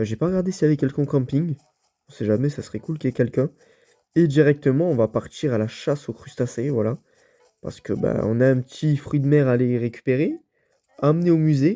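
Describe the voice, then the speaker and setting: Talking at a very fast pace, a man uses a fairly high pitch. His pitch variation is ordinary. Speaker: gaming youtuber. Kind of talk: let's play commentary. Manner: casual, hesitant with fillers.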